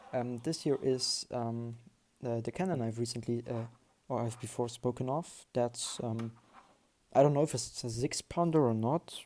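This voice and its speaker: The voice carries a non-native accent on a very clean recording with a silent background. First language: not English. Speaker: Lego hobby YouTuber. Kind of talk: casual video haul. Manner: halting, many fillers.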